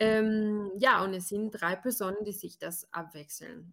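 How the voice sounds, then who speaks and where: A woman with a plain, everyday voice at medium pitch and a fairly slow pace. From Brazil. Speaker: podcast co-host. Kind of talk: casual podcast interview.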